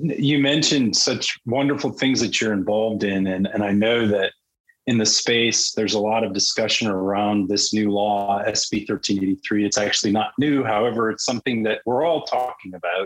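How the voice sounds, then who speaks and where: A man with fairly low pitch speaks at a moderate pace with ordinary pitch variation. His loudness stays very even, with hardly any pauses. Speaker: podcast co-host. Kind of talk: casual interview. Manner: talkative.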